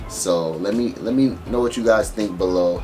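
At a moderate pace, a man talks while clear music sounds behind him. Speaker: vlogger. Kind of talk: casual vlog chat. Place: home room.

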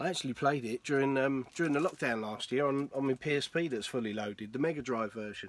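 Speaking with an English accent, a man keeps a fairly quick pace with hardly any pauses, at medium pitch and with ordinary pitch variation. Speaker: retro gaming YouTuber. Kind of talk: casual video monologue. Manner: animated.

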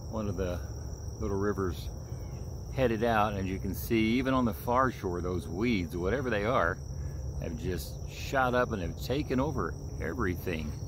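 There is noticeable background noise as a man speaks with very wide pitch swings and long, frequent pauses, in a dry sound with no echo. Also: moderate pace. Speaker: outdoor vlogger. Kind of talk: casual vlog chat. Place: waterside. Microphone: phone near.

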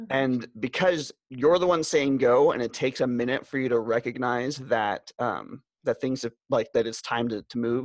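Against a quiet background with a dry sound and no echo, a man speaks at a moderate pace with hardly any pauses and ordinary pitch variation. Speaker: podcast co-host. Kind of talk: casual chat. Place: home room. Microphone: studio mic.

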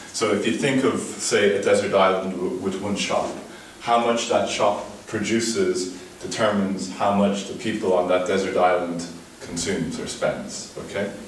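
A man's fairly low voice at a moderate pace, with fairly even intonation, audible room echo and light background noise. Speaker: conference presenter. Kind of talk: lecture. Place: classroom. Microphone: camera far.

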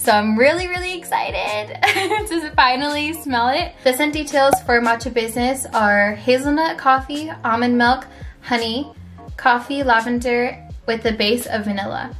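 Faint music plays in the background. A woman speaks at a moderate pace in a high voice. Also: ordinary pitch variation. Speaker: lifestyle vlogger. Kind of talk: casual product review vlog chat. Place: home room.

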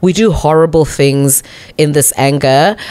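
A woman speaks with a Botswana accent. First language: Setswana. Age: 40s. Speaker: radio broadcaster and MC; radio broadcaster, MC. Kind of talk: casual interview chat. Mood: earnest, reflective. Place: studio. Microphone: studio mic.

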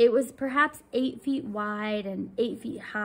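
Pitch variation here is ordinary. The voice is a natural reading voice.

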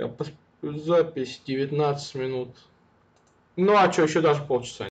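Speaking at a very slow pace with long, frequent pauses, a man with a fairly high pitch sounds somewhat breathy, his loudness swinging widely. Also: fairly even intonation. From Samara, Russia. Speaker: video blogger. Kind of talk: casual chat with strangers. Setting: video chat roulette, recording at home. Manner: informal, joking. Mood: relaxed, casual. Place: home room. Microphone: earbuds.

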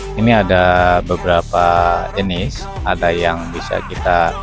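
Clear music plays behind a man with a very deep, low pitch, recorded with a dry sound and no echo. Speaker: family travel vlogger. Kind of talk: casual vlog commentary. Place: open country. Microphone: phone near.

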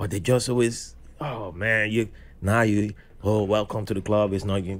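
Here a man speaks at a moderate pace. His fairly low voice carries vocal fry. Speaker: podcast guest. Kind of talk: conversational podcast discussion. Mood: reflective, lightly amused. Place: studio.

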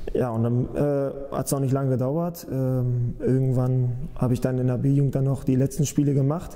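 This man has an unremarkable speaking voice with a fairly high pitch. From northern Germany, Hameln-Pyrmont area (Lower Saxony); Lower Saxony. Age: 20s. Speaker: professional football goalkeeper. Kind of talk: interview. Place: office. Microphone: lapel.

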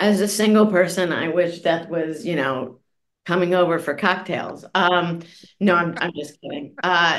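A normal speaking voice moves along at a moderate pace. Its pitch variation is ordinary. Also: woman. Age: 50s. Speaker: journalist and author. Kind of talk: interview.

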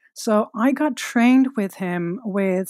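Her delivery is very slow. The recording is dry and close, without any echo. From Netherlands. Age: 40s. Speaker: retreat leader. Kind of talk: interview. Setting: remote call.

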